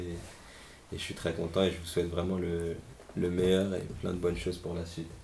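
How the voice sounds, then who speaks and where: With audible room echo, a man talks at a moderate pace in a very deep, low pitch, his intonation monotone and flat. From Paris region, France (Hauts-de-Seine). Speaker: professional footballer. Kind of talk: interview. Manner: halting, many repetitions; casual, friendly.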